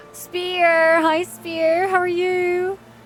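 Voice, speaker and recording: A woman speaks over noticeable background noise. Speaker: game streamer. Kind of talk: live gameplay stream chat. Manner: animated.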